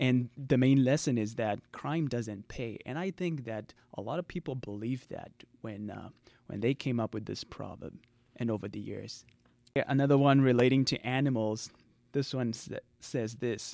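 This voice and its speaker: A man's medium-pitched voice with a Zimbabwean accent, a dark, mellow tone and ordinary pitch variation, in a very clean recording with a silent background. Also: moderate pace. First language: Shona. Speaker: writer and panelist. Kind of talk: interview.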